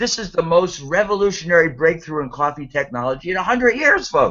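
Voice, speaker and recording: A man's high-pitched voice in an animated tone. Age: 60s. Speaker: network marketing host. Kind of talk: sales pitch. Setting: video call.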